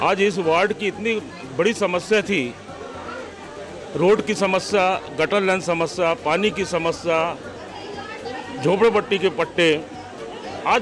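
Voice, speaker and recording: Through audible room echo and crowd noise in the background, a man's high-pitched voice comes across with ordinary pitch variation. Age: 60s. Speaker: local resident interviewed. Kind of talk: street vox pop interview.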